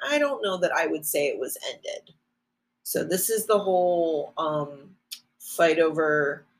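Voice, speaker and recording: A woman speaks with a normal speaking voice at a fairly low pitch. Her intonation is lively and her pace fairly slow. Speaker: teacher. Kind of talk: lecture.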